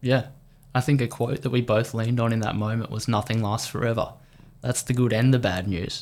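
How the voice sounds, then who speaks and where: A man with an Australian accent talks at a fairly quick pace in a medium pitch, his intonation fairly even, on a very clean recording with a silent background. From Australia, country Victoria. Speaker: professional triathlete. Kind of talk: podcast interview. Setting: studio.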